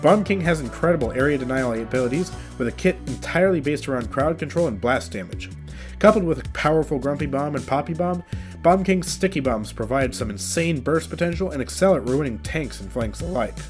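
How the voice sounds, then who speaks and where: Music in the background behind a man's fairly quick delivery. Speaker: gaming YouTuber. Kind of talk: video game commentary narration.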